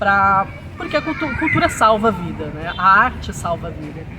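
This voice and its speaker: A woman's medium-pitched voice at a moderate pace, with crowd noise in the background. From Brazil, São Paulo. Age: 40s. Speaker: teacher and writer. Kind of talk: interview. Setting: outdoors. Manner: halting.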